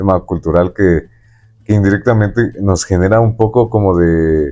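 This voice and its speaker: A man's very deep, low voice, dark and mellow in tone, with ordinary pitch variation at a moderate pace. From Mexico. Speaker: podcast host. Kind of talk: interview.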